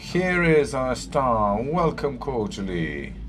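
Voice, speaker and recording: With audible room echo and noticeable background noise, a man speaks at a very slow pace. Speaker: panel moderator. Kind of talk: panel discussion introduction.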